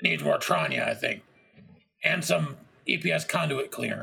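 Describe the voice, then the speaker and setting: Using a put-on character voice, a man speaks in a raspy way. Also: moderate pace. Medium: actual play.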